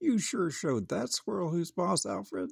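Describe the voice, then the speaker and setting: A man puts on a character voice, pitched high, at a moderate pace. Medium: read story. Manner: warm, upbeat.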